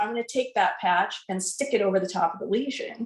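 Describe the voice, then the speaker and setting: Speaking at a fairly quick pace with lively intonation, a woman uses an ordinary speaking voice. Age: 60s. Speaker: product testimonial giver. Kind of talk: testimony.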